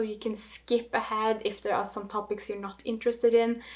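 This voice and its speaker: Her pitch is fairly high as this woman speaks in a Norwegian accent. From Norway. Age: 30s. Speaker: knitting vlogger. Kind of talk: casual vlog monologue.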